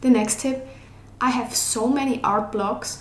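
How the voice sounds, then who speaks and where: Fairly slow speech from a woman amid noticeable background noise and audible room echo. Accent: non-native. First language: not English. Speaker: digital artist and art YouTuber. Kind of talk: casual tutorial. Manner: casual, filler-heavy speech.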